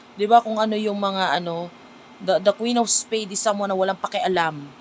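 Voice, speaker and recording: The speaker talks at a fairly quick pace. Noticeable background noise runs underneath. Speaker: tarot card reader. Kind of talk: tarot reading. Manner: casual, conversational.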